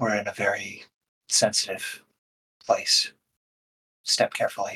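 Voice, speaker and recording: In a quiet, raspy put-on character voice, the speaker goes at a moderate pace. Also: man. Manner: hushed, cautious.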